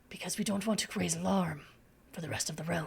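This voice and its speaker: A raspy put-on character voice at a middle pitch and a very fast pace. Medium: actual play. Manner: formal, grandfatherly.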